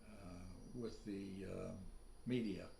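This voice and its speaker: Very slowly and with an American accent, a man speaks at a medium pitch in a dark, mellow tone with ordinary pitch variation and audible room echo. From US. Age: 90s. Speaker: author. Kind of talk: casual interview chat.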